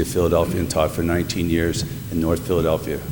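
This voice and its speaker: A man's very deep, low pitch at a very fast pace with a northeastern Pennsylvania accent, audible room echo and noticeable background noise. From northeastern Pennsylvania, Scranton. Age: 60s. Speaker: retired teacher, mayoral applicant. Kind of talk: public interview. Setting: city council meeting. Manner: halting.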